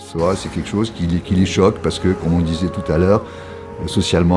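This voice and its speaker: Over music in the background, the speaker goes at a fairly quick pace with fairly even intonation. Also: man. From France. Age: 70s. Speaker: veteran skateboarder. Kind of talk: documentary interview. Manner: halting, many repetitions and hesitations.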